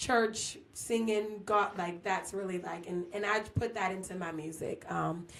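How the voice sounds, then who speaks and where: At a fairly slow pace, a woman of medium pitch speaks with hardly any pauses and fairly even intonation. Audible room echo surrounds her voice. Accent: American. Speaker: R&B singer. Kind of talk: casual chat. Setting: studio.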